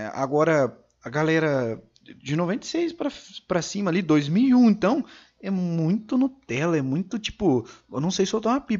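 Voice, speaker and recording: Using a high pitch with very wide swings, a man speaks at a moderate pace and takes long, frequent pauses. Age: 20s. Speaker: podcast host. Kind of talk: casual chat.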